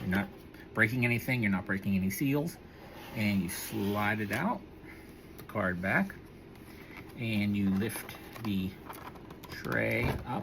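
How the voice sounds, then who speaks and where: This man speaks at a fairly slow pace. His pitch sits fairly low. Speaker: toy collector vlogger. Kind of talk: unboxing review vlog. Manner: casual, halting with fillers.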